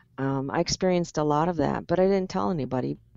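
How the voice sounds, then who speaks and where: This woman speaks with lively intonation in a fairly low pitch. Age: 60s. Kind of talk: interview.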